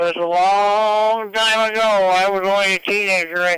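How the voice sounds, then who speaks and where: Bright and sharp in tone, a man speaks with a Maritime Canadian accent and fairly even intonation. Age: 80s+. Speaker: ham radio operator. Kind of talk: radio net conversation. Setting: amateur radio transmission.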